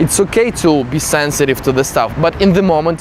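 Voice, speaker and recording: A man with a non-native accent talks at a moderate pace in a fairly high pitch, with noticeable background noise behind him. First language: not English. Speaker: self-development coach. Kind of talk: casual talk to camera.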